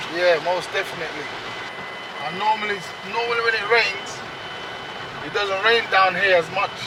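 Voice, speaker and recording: A man's high, raised and projected voice at a moderate pace, fairly even in intonation, with long, frequent pauses, audible room echo and noticeable background noise. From Jamaica, Kingston. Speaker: local guide and community activist. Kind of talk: casual chat.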